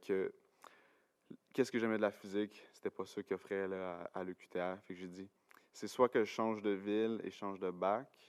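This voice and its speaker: Monotone and flat, a man with fairly low pitch speaks at a moderate pace with long, frequent pauses and big swings in loudness, in a dry, close sound with no echo. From Quebec, Gatineau (Outaouais). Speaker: university science student, podcast guest. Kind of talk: casual chat. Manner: hesitant, many fillers and repetitions.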